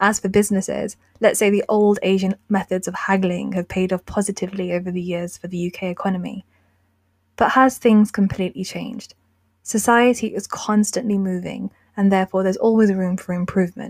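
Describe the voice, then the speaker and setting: A woman with a British accent at a fairly quick pace, somewhat breathy and monotone, in a dry, close sound with no echo. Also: medium pitch for a woman. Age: 20s. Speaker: podcast host. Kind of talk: scripted narration.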